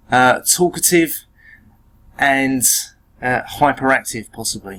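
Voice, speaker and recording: Here the speaker is a man with an English accent. He uses lively intonation. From England. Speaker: teacher. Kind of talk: lecture. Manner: hesitant, many fillers.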